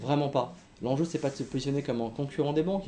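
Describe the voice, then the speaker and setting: Somewhat breathy and dark, mellow in tone, a man with a fairly high pitch speaks at a very fast pace. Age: 40s. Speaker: company executive. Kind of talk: interview. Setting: remote video recording. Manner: hesitant, many fillers.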